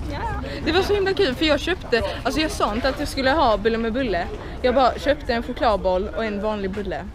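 A woman in dry sound with no echo, with crowd noise in the background. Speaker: vlogger on a class trip. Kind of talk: casual vlog chat. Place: street. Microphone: phone near.

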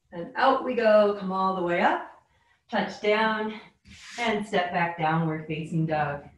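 The woman's fairly slow delivery is somewhat breathy. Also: medium pitch for a woman, ordinary pitch variation. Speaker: yoga instructor. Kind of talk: guided yoga class, calm cueing with warm, playful asides. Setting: online video class. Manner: soothing, slow, instructional, gently upbeat.

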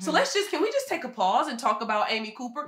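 A raised, projected voice with an American accent, very wide pitch swings and a bright, sharp tone. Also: woman. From US Midwest, Michigan. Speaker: HR firm founder and podcast host. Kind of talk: panel discussion. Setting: at home. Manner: loud.

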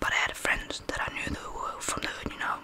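A man talking at a very fast pace over loud background noise. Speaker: ASMR creator playing a barber. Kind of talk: roleplay chat. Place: home room. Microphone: studio mic.

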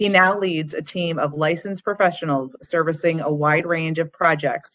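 A woman talks in an unremarkable speaking voice. Her pitch is fairly low and her intonation fairly even. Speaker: alumni relations staff. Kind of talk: formal event introduction. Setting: video call. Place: home room. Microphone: video call.

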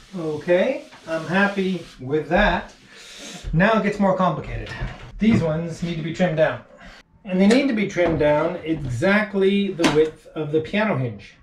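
A man with a fairly high pitch talks with lively intonation, and the room echo is audible. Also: fairly slow pace.

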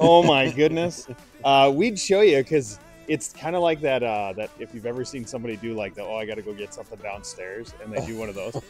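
The speech runs fairly quickly with big swings in loudness, faint music in the background, and a dry sound with no echo. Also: man. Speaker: nonprofit project host. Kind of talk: casual vlog chat. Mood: joking, upbeat. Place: hall. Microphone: handheld.

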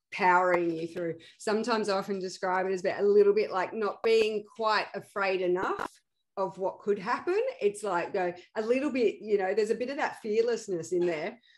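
Female voice, a normal speaking voice at a medium pitch, fairly even intonation and a fairly quick pace. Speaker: podcast host, founder of an ADHD support organization. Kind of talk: casual interview.

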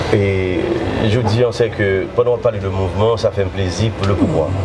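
A very fast pace over loud background noise. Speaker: interviewer. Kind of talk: interview. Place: studio. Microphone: lapel.

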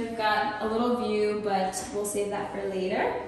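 A woman speaks at a fairly slow pace over light background noise. Strong echo fills the room around her. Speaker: vlogger. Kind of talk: casual vlog chat. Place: empty room.

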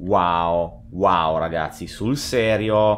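Very deep and low in pitch, a man speaks in an animated tone with ordinary pitch variation. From Italy. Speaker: gaming youtuber. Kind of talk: gameplay reaction commentary. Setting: at home. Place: home room. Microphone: studio mic.

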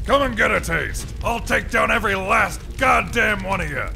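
There is clear background noise as a man speaks at a moderate pace. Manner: cocky, brash, aggressive.

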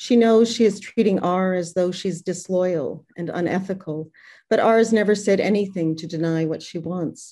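A woman speaks in a dark, mellow tone with fairly even intonation. The background is quiet. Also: moderate pace. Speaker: poet. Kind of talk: poetry reading. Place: home room. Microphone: webcam.

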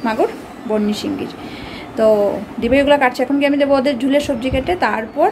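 There is noticeable background noise. A woman speaks at a high pitch. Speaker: home vlogger. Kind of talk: casual vlog chat. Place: home room. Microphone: phone near.

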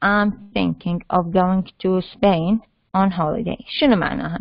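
A woman talks at a fairly slow pace in a normal speaking voice. Her pitch is medium, with ordinary variation. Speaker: university lecturer teaching English. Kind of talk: lecture. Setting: online class with chat and mute. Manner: explanatory, code-switching between Arabic and English.

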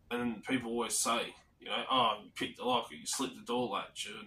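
An Australian accent marks a man speaking at a fairly quick pace. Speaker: lock picking and physical security channel host. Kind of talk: casual vlog monologue. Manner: rambling with fillers.

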